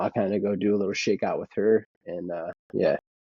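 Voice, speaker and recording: With an American accent, a man speaks at a moderate pace and fairly low pitch. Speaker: runner in addiction recovery. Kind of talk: casual interview.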